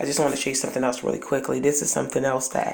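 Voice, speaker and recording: Over noticeable background noise and audible room echo, a woman speaks with a very deep, low pitch and flat, monotone intonation. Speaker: couponing haul vlogger. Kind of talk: casual chat. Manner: halting.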